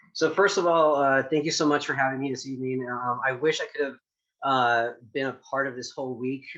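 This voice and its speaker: A man's bright, sharp voice at a medium pitch, fairly quick in pace and fairly even in intonation. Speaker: chef. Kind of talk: casual chat. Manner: halting, many fillers.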